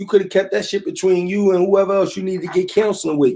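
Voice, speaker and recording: This man has a high-pitched voice with a dark, mellow tone. He talks at a fairly quick pace. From Philadelphia, North Philly. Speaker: online talk show host. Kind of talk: casual commentary rant. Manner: animated.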